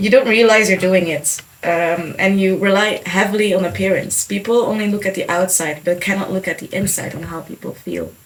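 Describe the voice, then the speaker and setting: Noticeable background noise sits behind speech at a fairly quick pace with hardly any pauses. The intonation is fairly even, while the loudness swings widely. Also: woman, medium pitch for a woman. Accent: Dutch. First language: Dutch. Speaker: podcast co-host. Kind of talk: podcast discussion.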